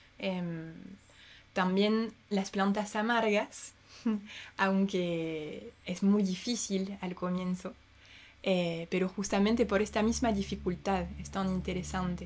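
A woman speaks very slowly in a medium pitch, her somewhat breathy voice keeping a fairly even intonation over a very clean recording with a silent background. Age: 30s. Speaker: herbalist. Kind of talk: casual chat. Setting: at home.

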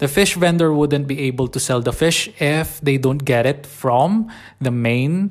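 On a very clean recording with a silent background, a man speaks with a Filipino accent. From Philippines. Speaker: nurse and personal finance blogger. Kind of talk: solo podcast talk about personal finance. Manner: halting, with fillers and some stuttering.

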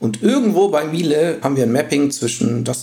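With noticeable background noise behind him, a man at medium pitch speaks with very wide pitch swings. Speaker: data science team lead. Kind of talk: podcast interview. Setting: video call.

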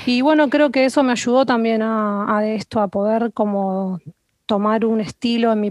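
She has a plain, everyday voice with ordinary pitch variation. Her pace is fairly slow. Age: 30s. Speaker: nutritionist. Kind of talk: interview conversation.

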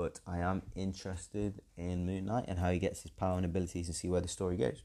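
A man with an English accent, a dark, mellow tone and a fairly quick pace. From England. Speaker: podcast host, TV reviewer. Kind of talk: solo review monologue. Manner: hesitant, many fillers.

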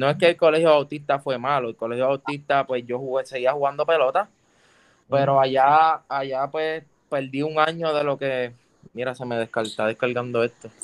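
A plain, everyday voice from a man with a fairly high pitch, moderate pace and fairly even intonation, dry and close with no echo over a quiet background. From Puerto Rico, Juncos. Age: 20s. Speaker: urban music artist. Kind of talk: casual interview chat.

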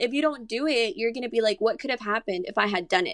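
Speaking at a very fast pace with ordinary pitch variation, a woman talks in a Spanish accent. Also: dry, close sound with no echo. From Monterrey, Mexico; raised in San Antonio from age nine. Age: 20s. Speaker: model. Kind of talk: casual chat.

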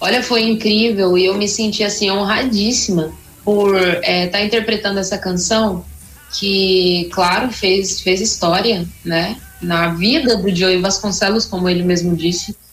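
Over music in the background and audible room echo, a woman talks at a fairly slow pace and medium pitch, with fairly even intonation and very even loudness. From São Paulo state interior, Brazil. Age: 20s. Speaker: gospel singer. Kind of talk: interview.

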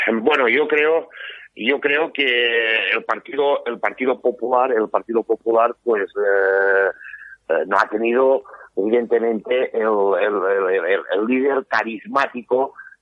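His loudness stays very even. The man speaks at medium pitch. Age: 50s. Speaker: politician. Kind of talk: interview. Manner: halting.

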